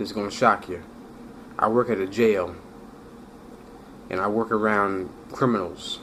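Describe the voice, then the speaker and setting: A man at a moderate pace with fairly even intonation, long, frequent pauses and noticeable background noise. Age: 30s. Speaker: correctional officer sharing his stuttering story. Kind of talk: personal testimony vlog. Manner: halting with repetitions.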